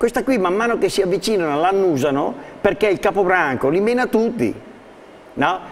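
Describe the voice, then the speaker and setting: With light background noise behind him, a man talks at a fairly quick pace in a high pitch, making very wide pitch swings. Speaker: dog trainer. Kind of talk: TV studio talk and dog training demonstration. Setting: TV studio. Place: studio. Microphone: lapel.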